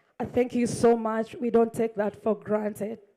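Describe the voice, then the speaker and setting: Her voice has a dark, mellow tone at a fairly high pitch. The woman speaks at a fairly slow pace. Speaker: club president. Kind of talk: welcome speech.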